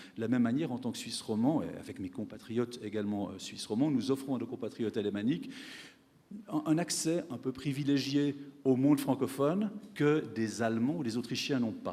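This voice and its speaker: A man with a dark, mellow tone talks at a fairly quick pace with ordinary pitch variation. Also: medium pitch for a man. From French-speaking Switzerland. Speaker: economics professor. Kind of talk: panel discussion answer; conference speech. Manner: hesitant, many fillers and repetitions.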